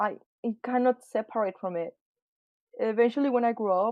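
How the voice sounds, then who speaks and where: The woman's pitch sits fairly high. She talks at a moderate pace. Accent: Spanish. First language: Spanish. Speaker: artist. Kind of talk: casual chat.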